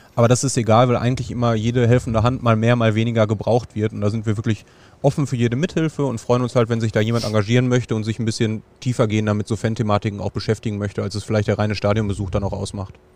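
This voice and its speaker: A man speaks at a very fast pace with medium pitch. His intonation stays fairly even. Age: 30s. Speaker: football fan legal aid volunteer. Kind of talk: casual interview. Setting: outdoors in a football stadium stand.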